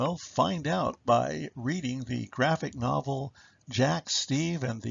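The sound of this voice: Unforced voice, reading aloud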